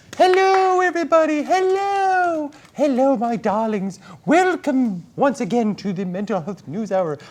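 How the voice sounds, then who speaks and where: A put-on character voice with a theatrical tone is pitched high. Its pitch swings very widely. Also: moderate pace. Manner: theatrical, camp, affectionate.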